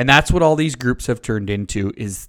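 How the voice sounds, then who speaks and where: Speaking at a fairly quick pace with an Ontario accent, a man is heard on a very clean recording with a silent background. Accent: rural Ontario Canadian. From Ontario, Canada (rural, north of Uxbridge). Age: 30s. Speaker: podcast host and dairy farmer. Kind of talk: casual monologue. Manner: casual, conversational with fillers. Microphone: new microphone.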